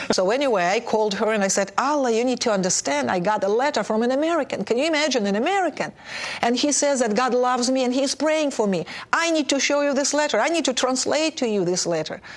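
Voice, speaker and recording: Speaking very fast with a Russian accent, a woman uses a high pitch, lively intonation and very even loudness against noticeable background noise. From Soviet Union (Russia). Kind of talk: testimony.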